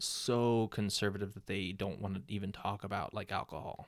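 On a very clean recording with a silent background, a man uses a normal speaking voice, fairly low in pitch, at a fairly slow pace. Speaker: podcast host. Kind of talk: casual chat. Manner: playful, jokey.

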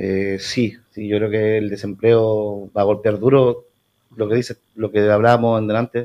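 A man speaks fairly slowly in a fairly low voice. His intonation is monotone and flat. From Puerto Varas, southern Chile. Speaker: neighbourhood community leader. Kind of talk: radio interview. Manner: halting.

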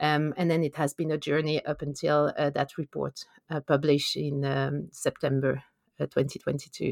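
A woman with a French accent speaks at a moderate pace with a very deep, low pitch and vocal fry. Her intonation is monotone and flat, and the sound is dry and close with no echo. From France. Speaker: conservation biologist. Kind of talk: interview.

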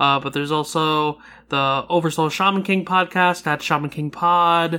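The speaking pace is moderate. The recording is very clean, with a silent background. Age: 20s. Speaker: podcaster guest. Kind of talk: casual chat.

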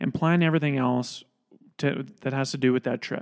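With a normal speaking voice, a man talks at a fairly high pitch with ordinary variation, the sound dry and close with no echo and the recording very clean over a silent background. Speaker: podcast host. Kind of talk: casual interview conversation. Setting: studio.

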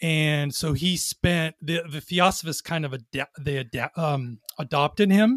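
A man with a Californian accent speaks fairly slowly yet with hardly any pauses, his fairly high pitch heard in a dry, close sound with no echo. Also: ordinary pitch variation. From Southern California, Long Beach. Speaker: entrepreneur, former federal agent. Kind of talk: casual interview.

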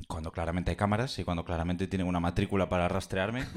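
Very deep and low, a man's voice comes through in a very clean recording with a silent background. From Galicia (Pontevedra). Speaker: audience member. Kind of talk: storytelling. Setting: stage with audience.

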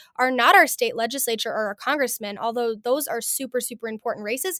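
A high-pitched woman's voice, very fast, in a dry, close sound with no echo. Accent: American. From Montana, US. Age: young. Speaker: political candidate. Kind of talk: interview.

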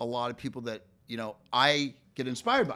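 On a very clean recording with a silent background, a man speaks loudly at a moderate pace, his bright, sharp tone at medium pitch with ordinary variation. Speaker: real estate team leader. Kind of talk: casual interview chat.

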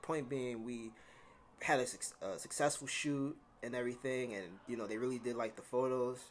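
A man with a New York accent speaks at a medium pitch. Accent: New York City. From US Northeast, New York City (Bronx). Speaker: freelance photographer. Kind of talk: casual interview chat.

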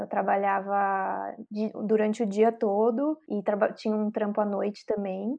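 Using a normal speaking voice, a woman speaks at a fairly slow pace in a medium pitch with fairly even intonation. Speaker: DJ and music producer, co-interviewer. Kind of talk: casual interview chat.

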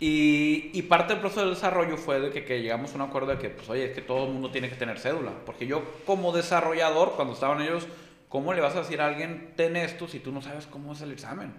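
With audible room echo and noticeable background noise, a man speaks at a very fast pace in a fairly high pitch, his loudness swinging widely. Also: ordinary pitch variation. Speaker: insurance manager. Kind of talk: casual chat.

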